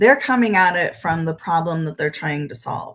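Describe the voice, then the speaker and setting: Her voice sits at a fairly low pitch for a woman. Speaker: marketing presenter. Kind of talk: webinar presentation.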